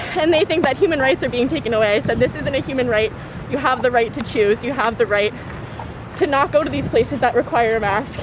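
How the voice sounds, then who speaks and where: Over noticeable background noise, a woman with a high pitch talks at a very fast pace with ordinary pitch variation. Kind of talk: street interview.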